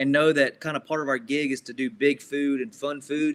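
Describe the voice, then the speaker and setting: A man with a Southern US accent speaks at a fairly high pitch. The recording is very clean, with a silent background. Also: dry, close sound with no echo. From US South. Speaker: grill cook and TV food guest. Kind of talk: casual chat. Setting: podcast interview.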